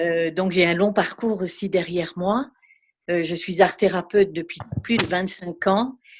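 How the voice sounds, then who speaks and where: A plain, everyday voice from a woman, medium in pitch, with fairly even intonation and a fairly slow pace. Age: 50s. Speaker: art therapist. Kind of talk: question from participant.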